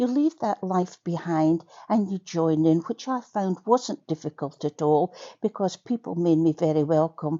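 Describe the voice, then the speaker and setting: A woman with a Scottish accent, lively intonation and a fairly slow pace. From Scotland. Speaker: community radio broadcaster. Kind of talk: personal testimony. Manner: chatty with many fillers.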